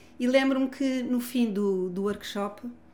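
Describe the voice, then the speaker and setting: A woman's dark, mellow voice with lively intonation and audible room echo. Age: 60s. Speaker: family constellation therapist and author. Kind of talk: casual chat. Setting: gym.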